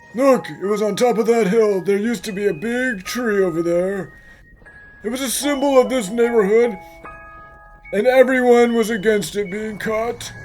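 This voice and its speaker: A man's put-on character voice, high-pitched, at a moderate pace, with clear music in the background. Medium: fan dub.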